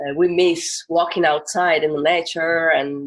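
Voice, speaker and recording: A woman speaks at a fairly low pitch. Her pace is very slow. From northern Italy, Turin. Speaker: musician. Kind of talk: casual interview. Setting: video call from her balcony.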